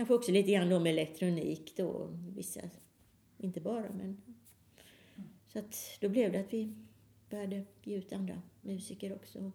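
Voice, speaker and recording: With vocal fry and a dark, mellow tone, a woman talks at a moderate pace and medium pitch, with fairly even intonation, long, frequent pauses and big swings in loudness. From Sweden, Halmstad. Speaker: pianist and electronic musician. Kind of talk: casual interview.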